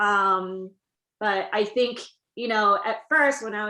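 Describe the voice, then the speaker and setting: A woman with a fairly high pitch and a bright, sharp tone speaks in a flat monotone at a fairly slow pace. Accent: Korean. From South Korea. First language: Korean. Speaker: TV writer. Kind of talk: interview.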